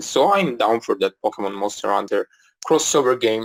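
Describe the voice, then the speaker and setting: A man with an Italian accent. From Italy. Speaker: podcast host. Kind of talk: casual live podcast Q&A. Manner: halting, many fillers.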